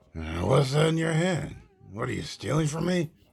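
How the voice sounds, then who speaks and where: A man puts on a raspy character voice, fairly high in pitch, at a moderate pace. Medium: audio drama. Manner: haughty, condescending.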